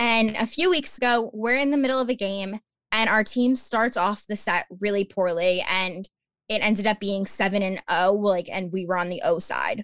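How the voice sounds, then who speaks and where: In a normal speaking voice, a woman talks at a moderate pace with medium pitch and ordinary pitch variation, the sound dry and close with no echo on a very clean recording with a silent background. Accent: American. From Long Island, New York. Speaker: podcaster and athletic communications graduate assistant. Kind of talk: casual interview chat.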